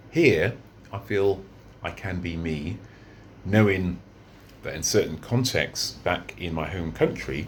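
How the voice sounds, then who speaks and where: This man has a very deep, low voice and a British accent. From London, England. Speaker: vlogger. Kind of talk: unscripted monologue vlog. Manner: halting, many fillers and repeats.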